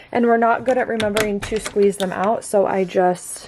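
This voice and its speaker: A woman's moderate pace comes through over noticeable background noise. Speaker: vlogger, mom. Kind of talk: casual vlog narration. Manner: soft-spoken, quiet.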